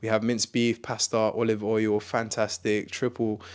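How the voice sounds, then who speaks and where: A man speaks at a medium pitch, and the recording is very clean with a silent background. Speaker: fitness content creator. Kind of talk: casual tutorial. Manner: fast; animated.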